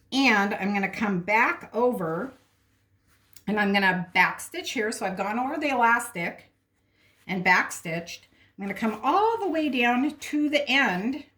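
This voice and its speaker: A woman with a fairly high pitch talks at a fairly slow pace. Her intonation is lively. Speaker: sewing instructor, seamstress. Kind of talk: tutorial.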